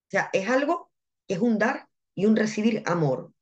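Somewhat breathy, a woman talks at a fairly slow pace and fairly high pitch, her pitch swinging very widely. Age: 30s. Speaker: medium and spiritual mentor. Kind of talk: interview. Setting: live video stream.

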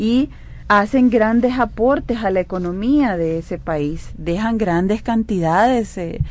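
A woman with a normal speaking voice, lively intonation and a fairly slow pace. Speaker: legislator. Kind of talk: radio interview.

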